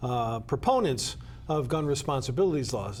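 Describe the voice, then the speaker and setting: With an American accent and lively intonation, a man speaks at a medium pitch in a room with audible echo. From Connecticut (Danbury). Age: 70s. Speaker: state legislator. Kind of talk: interview. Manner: halting, many fillers.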